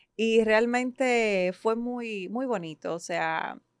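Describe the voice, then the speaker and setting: A woman speaks with ordinary pitch variation, her sound dry and close with no echo, over a quiet background. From Ecuador, Guayaquil (moved to Dominican Republic at 12). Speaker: psychologist and coach. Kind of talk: podcast interview.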